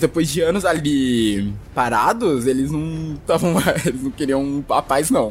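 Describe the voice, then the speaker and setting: The speaker is a man. Music plays in the background. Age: 20s. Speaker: podcast co-host. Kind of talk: casual chat.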